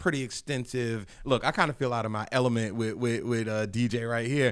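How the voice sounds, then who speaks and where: An unremarkable speaking voice moves at a moderate pace in a very clean recording with a silent background. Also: man. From Hampton Roads, Virginia. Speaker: podcast host. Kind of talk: casual interview.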